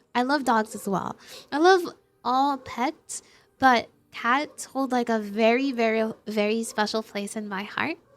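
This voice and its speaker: A woman with a non-native accent speaks very slowly in a high pitch with ordinary variation. The recording is very clean, with a silent background. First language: not English. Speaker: streamer. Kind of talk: casual chat. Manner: animated.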